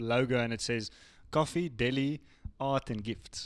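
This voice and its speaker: This man has an unremarkable speaking voice at a medium pitch, with fairly even intonation. The recording is very clean, with a silent background. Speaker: podcast host. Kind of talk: casual interview chat.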